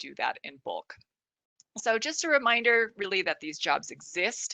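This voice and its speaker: A woman's bright, sharp voice at a fairly slow pace, with big swings in loudness over a quiet background. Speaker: product specialist presenting a webinar; product trainer presenting a webinar. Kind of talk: webinar presentation. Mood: friendly, wrapping up. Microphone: video call.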